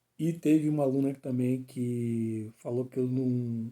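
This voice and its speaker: A man speaks in a medium pitch. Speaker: teacher. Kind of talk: lecture. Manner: fast; clipping words mid-sentence.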